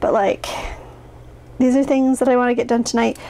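Some light noise hums in the background. The speaker is a woman. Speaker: planner vlogger. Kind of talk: casual vlog chat. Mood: overwhelmed, slightly rueful.

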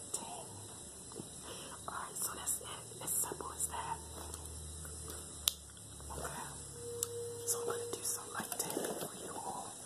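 Long, frequent pauses break up a woman's fairly slow speech. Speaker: ASMR creator. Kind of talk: ASMR talk to camera. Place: home room. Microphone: phone near.

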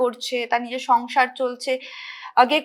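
With a bright, sharp tone, this woman's voice sits high in pitch. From Hooghly district, West Bengal, India. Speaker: nursing student and dancer. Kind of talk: interview. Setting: studio.

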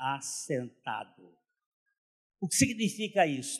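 Against a quiet background, a man with a fairly high pitch talks at a very slow pace with lively intonation. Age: 70s. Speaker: pastor. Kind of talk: sermon. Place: hall. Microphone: handheld.

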